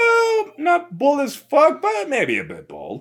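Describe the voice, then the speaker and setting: A high, put-on character voice delivered at a fairly slow pace. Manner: opinionated, matter-of-fact.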